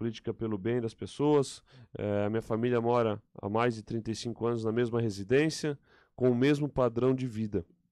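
The tone is dark and mellow, with fairly even intonation. The sound is dry with no echo, and the background is quiet. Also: man, moderate pace. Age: 30s. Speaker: political candidate; candidate. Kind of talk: interview. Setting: radio studio. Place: studio. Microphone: studio mic.

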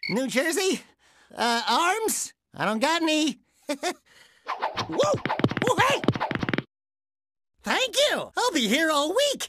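This put-on character voice sits at an extremely high pitch and swings very widely up and down. It moves at a very slow pace, with long, frequent pauses. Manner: annoying, comic, silly.

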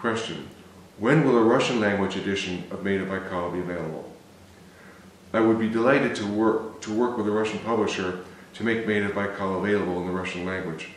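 With an American accent, a man of fairly low pitch talks fairly quickly in fairly even intonation, with audible room echo and light background noise. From US Midwest, Cleveland, Ohio; Ohio. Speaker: novelist. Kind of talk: reading aloud. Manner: halting. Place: home room.

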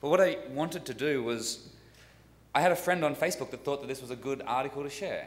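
The pace of this man is fairly quick. He has an Australian accent. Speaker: software developer, tool creator; tool creator. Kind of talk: conference workshop presentation. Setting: stage with audience. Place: hall. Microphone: podium.

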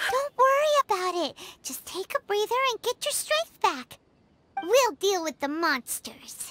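In a put-on character voice, the speaker goes at a fairly slow pace with an extremely high pitch and very wide pitch swings. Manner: casual, lively.

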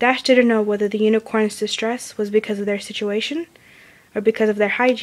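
Fairly even intonation in a natural-voiced reading aloud.

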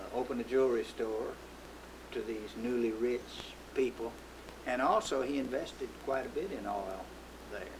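A man at a moderate pace, with long, frequent pauses over noticeable background noise. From Texas, USA. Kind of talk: oral history interview answer. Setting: recorded interview.

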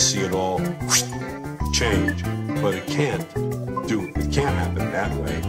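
Loud background noise around a man talking at a moderate pace. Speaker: veteran stand-up comedian. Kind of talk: interview answer.

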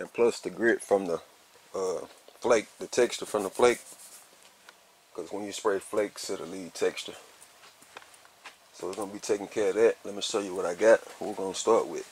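There are big swings in loudness and long, frequent pauses as a man talks at a moderate pace, in a dry sound with no echo over light background noise. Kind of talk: tutorial. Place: garage. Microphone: phone near.

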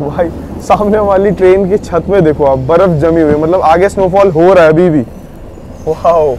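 A man's high-pitched, slightly mellow voice at a moderate pace, with ordinary pitch variation over faint background noise

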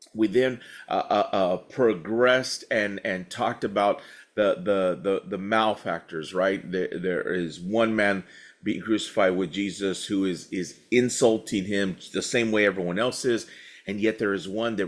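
Over a quiet background, a man talks at a fairly slow pace. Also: ordinary pitch variation. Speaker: pastor. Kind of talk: bible study teaching.

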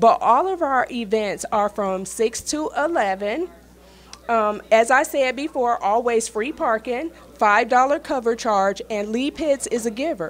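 Here is a woman with an ordinary speaking voice, fairly high in pitch. She talks at a fairly slow pace with lively intonation. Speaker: red carpet host. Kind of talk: live event interview. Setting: live event, in person.

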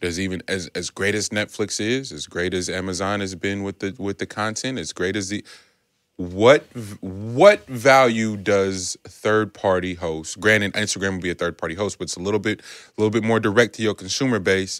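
A man speaks at a moderate pace in an ordinary speaking voice, fairly low in pitch with fairly even intonation, the sound dry with no echo against a quiet background. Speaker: podcast host. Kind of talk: casual podcast discussion. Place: studio. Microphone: studio mic.

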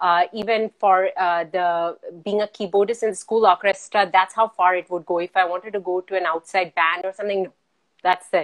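Her intonation is monotone and flat. The woman speaks against a quiet background. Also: moderate pace. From Qatar. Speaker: physician and multifaceted artist; guest. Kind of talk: casual chat. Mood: warm, smiling. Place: home room. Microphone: video call.

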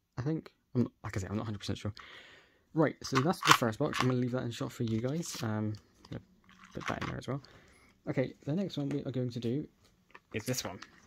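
Over noticeable background noise, a man with a medium pitch speaks fairly quickly with ordinary pitch variation. He pauses often and at length. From UK. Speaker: YouTuber. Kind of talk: unboxing video. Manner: animated. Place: home room.

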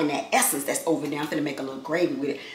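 A woman is talking. Room echo is audible around her voice. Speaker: vlogger. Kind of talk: casual vlog chat. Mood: playful, joking. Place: kitchen. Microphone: camera far.

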